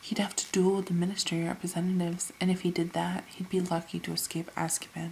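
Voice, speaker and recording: A soft-spoken woman whispering at a fairly quick pace. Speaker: ASMR creator / reader. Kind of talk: ASMR audiobook reading. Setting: home recording without a microphone, quiet. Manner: soft-spoken, whispery, relaxing.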